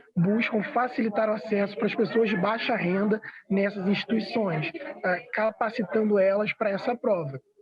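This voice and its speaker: A man at a high pitch with fairly even intonation. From Rio de Janeiro, Brazil (west zone favela). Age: 20s. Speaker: youth affairs official. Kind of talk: interview. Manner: hesitant, frequent fillers.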